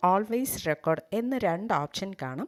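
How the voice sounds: A woman speaking at a fairly slow pace with lively intonation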